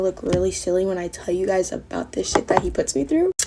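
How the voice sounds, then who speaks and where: A woman speaks with lively intonation. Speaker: content creator. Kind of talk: storytime monologue. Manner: fast.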